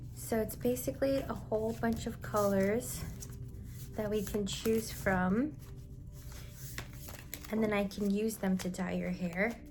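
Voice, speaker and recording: Against noticeable background noise, a woman speaks fairly slowly with long, frequent pauses. Her medium-pitched voice has a gentle tone and lively intonation. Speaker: ASMR artist. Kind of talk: ASMR roleplay, hair-dye session. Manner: soft, gentle, casual.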